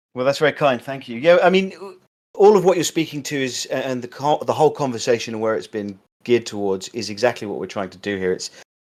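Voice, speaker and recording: A man with an English accent speaks very fast at a medium pitch, with lively intonation and big swings in loudness. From England. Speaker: podcast host. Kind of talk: interview.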